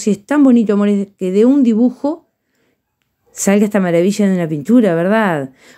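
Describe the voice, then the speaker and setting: A woman speaks at a medium pitch in a dark, mellow tone, with ordinary pitch variation. Her pace is moderate and the background is quiet. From Uruguay. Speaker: painting teacher. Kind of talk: tutorial. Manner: warm, affectionate. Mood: warm, affectionate. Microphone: phone near.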